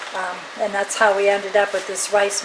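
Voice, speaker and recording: A woman's voice carries audible room echo against noticeable background noise. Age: 60s. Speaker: cooking channel host. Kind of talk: casual cooking demonstration chat. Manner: halting, many fillers.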